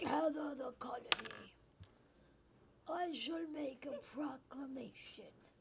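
A put-on character voice at high pitch and fairly slow pace, over loud background noise. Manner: heroic, regal.

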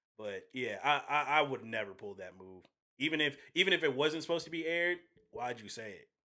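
A man speaks with a fairly high pitch, a bright, sharp tone and vocal fry. His intonation is lively, and his loudness swings widely. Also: fairly quick pace. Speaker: podcaster. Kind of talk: casual chat. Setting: studio.

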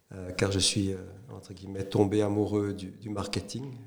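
Over noticeable background noise, a man speaks at fairly low pitch and a fairly slow pace. His intonation is monotone and flat. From Switzerland, Neuchâtel (French-speaking). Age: 50s. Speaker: entrepreneur, former corporate executive. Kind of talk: interview. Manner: hesitant with frequent fillers.

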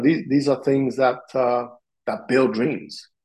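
A man with an Italian accent speaks at a moderate pace, his medium pitch following fairly even intonation. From Sicily, Italy. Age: 40s. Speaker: martial arts instructor. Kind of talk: interview.

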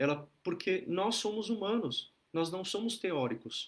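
Fairly slow, lively intonation from a man. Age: 40s. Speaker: Buddhist teacher leading an online group. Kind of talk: dharma talk. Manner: relaxed, conversational with many fillers.

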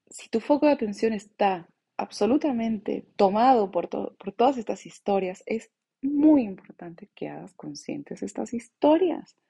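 A woman's fairly high, somewhat breathy voice, fairly slow, with lively intonation and big swings in loudness. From Bolivia (born in La Paz, moved around the world). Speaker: podcast host, mindfulness coach. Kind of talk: reflective monologue.

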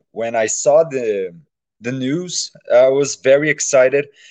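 A man with a Brazilian accent speaks at a fairly slow pace. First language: Portuguese. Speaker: fan. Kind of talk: casual chat. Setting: video call. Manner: halting.

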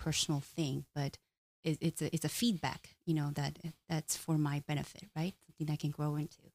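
Recorded very cleanly with a silent background and a dry, close sound with no echo, a woman speaks in a very deep, low pitch with a Korean accent. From South Korea. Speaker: doctoral student and cultural training director. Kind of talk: casual chat. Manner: halting.

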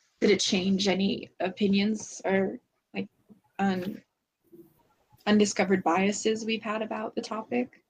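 A woman speaks at medium pitch, somewhat breathy, with ordinary pitch variation. Her pace is fairly slow. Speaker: book discussion podcaster. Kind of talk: casual chat. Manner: halting.

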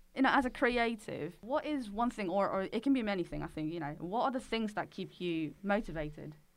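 Speaking at a fairly quick pace with hardly any pauses, a woman has an unremarkable speaking voice. Her pitch is medium and her intonation lively. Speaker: podcast co-host. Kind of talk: casual chat.

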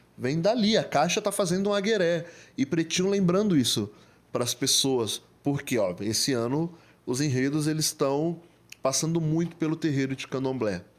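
This is an unremarkable speaking voice, a man's, pitched fairly high with lively intonation. He talks at a moderate pace in a very clean recording with a silent background. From Greater São Paulo, Brazil (Diadema). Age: 30s. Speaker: photographer and digital influencer. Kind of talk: podcast interview. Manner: casual, slangy.

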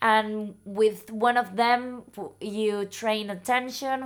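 Someone speaks at a very slow pace with a Spanish accent. The recording is very clean, with a silent background. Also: woman. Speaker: neurologist. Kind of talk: interview answers in second language. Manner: halting, repeats words.

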